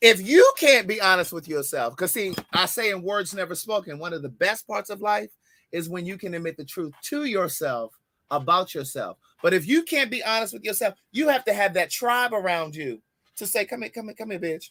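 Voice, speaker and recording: A man's raised, projected voice, high-pitched and animated, with a bright, sharp tone, very wide pitch swings and a moderate pace. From US, Baltimore, Maryland. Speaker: podcast co-host. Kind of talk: casual chat.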